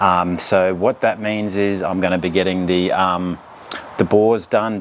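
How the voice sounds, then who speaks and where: A man talks in a very deep, low voice at a fairly slow pace. His intonation stays flat and monotone, with noticeable background noise behind him. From England. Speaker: car YouTuber. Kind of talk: casual vlog talk to camera. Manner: hesitant, many fillers.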